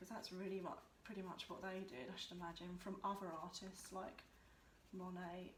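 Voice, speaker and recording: A mumbling woman at a medium pitch and moderate pace, with audible room echo and noticeable background noise. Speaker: art tutor. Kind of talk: tutorial. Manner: casual, mumbling.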